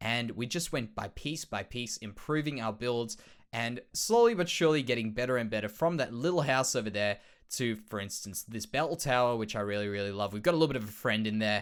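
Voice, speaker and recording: Someone talks at a fairly quick pace in an Australian accent, with ordinary pitch variation. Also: man, medium pitch for a man. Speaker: Minecraft let's play creator. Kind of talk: casual gameplay commentary.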